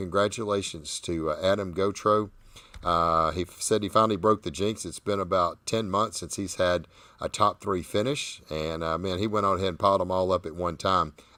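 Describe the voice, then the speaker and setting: Over a silent background in a very clean recording, a man with a Southern US accent and a very deep, low pitch talks at a fairly quick pace with ordinary pitch variation. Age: 60s. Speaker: barbecue competition host. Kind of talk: live show chat.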